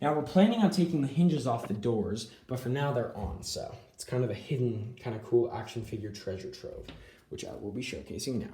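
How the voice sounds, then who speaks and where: A man's dark, mellow, somewhat breathy voice at a fairly quick pace, with lively intonation and audible room echo. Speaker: action figure collector YouTuber. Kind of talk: casual collection tour. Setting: home room / closet. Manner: fast. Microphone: filming on iPad, poor quality.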